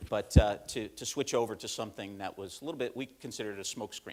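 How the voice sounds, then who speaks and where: A man talks with an upstate New York accent. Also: very clean recording, silent background. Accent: upstate New York, Midwestern-like. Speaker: corporate learning manager. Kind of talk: conference presentation. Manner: hesitant, many fillers.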